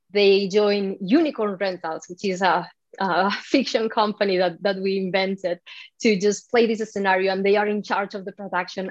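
A woman with a Spanish accent, fairly even intonation, and a moderate pace. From Spain. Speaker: developer advocate. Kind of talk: interview.

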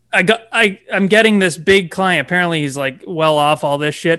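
A man with a high pitch, a bright, sharp tone and ordinary pitch variation. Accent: Ontario. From Toronto, Canada. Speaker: realtor. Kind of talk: casual interview chat.

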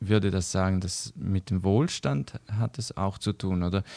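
Very deep and low in pitch, a man speaks at a fairly slow pace with a dark, mellow tone and ordinary pitch variation, in a dry, close sound with no echo on a very clean recording with a silent background. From eastern Switzerland, St. Gallen. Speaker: missionary organisation worker. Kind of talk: casual interview chat. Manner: hesitant, many fillers.

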